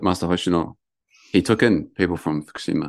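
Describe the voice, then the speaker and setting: A man with a New Zealand accent and a very deep, low pitch at a fairly quick pace, on a very clean recording with a silent background. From New Zealand, Lower Hutt, Wellington. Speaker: mountain ascetic practitioner. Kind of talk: interview.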